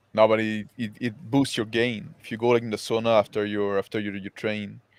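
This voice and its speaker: With a Quebec accent, a man at fairly low pitch speaks at a moderate pace in a monotone, flat tone, his loudness swinging widely, in a very clean recording with a silent background. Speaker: animator, podcast co-host. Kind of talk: casual chat.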